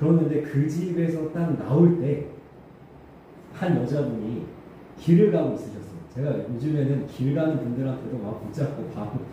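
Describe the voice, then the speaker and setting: Noticeable background noise and audible room echo surround a man speaking in a fairly high pitch with ordinary pitch variation. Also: moderate pace. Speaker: pastor. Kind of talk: sermon. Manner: loud.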